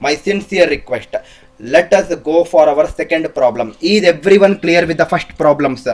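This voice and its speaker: Speaking in a South Indian accent, this man has a high pitch, ordinary pitch variation and a moderate pace. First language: Kannada. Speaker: teacher. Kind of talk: live online lecture. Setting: livestream.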